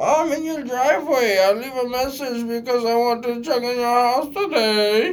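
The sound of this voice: A put-on character voice, fairly high in pitch, delivered at a moderate pace.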